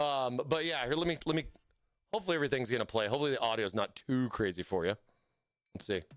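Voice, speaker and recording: With music in the background, a man of medium pitch talks very fast with lively intonation, broken by long, frequent pauses. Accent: American. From California. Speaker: livestream host for a PC hardware brand. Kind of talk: casual livestream chat. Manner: animated.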